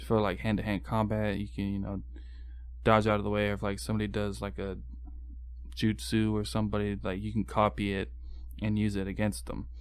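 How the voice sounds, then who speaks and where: A man with a very deep, low voice speaks at a fairly quick pace, his pitch swinging very widely. Long, frequent pauses break up his speech, and room echo is audible. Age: 20s. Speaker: podcast guest. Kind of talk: casual chat.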